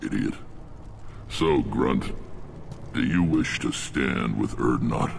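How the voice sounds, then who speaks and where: Amid clear background noise, a man with a very deep, low pitch does a put-on character voice at a fairly slow pace, with very even loudness and long, frequent pauses. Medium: video game. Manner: gruff, commanding.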